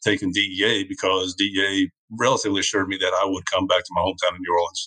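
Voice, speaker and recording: The speaker uses a Southern US accent and a bright, sharp tone. Delivery is very fast, with flat, monotone intonation. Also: man. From US South, Georgia. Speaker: retired DEA agent. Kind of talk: casual interview storytelling.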